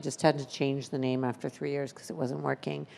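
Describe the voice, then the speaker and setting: A woman's voice in a very clean recording against a silent background. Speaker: pitch competition judge. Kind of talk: judge feedback. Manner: loud; animated.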